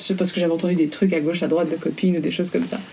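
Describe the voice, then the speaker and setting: A woman's voice comes out dark and mellow, with some breathiness. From Belgium. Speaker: fashion blogger and influencer. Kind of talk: interview.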